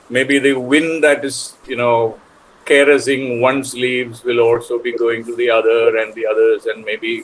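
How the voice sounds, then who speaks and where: Against noticeable background noise, a man of medium pitch talks at a moderate pace with fairly even intonation. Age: 60s. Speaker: poet. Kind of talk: panel discussion. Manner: halting.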